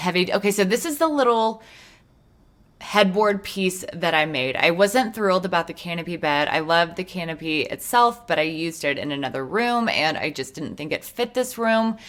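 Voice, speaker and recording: Lively intonation from a woman at a medium pitch and moderate pace, an unremarkable speaking voice. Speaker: gaming video creator. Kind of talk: casual commentary over gameplay.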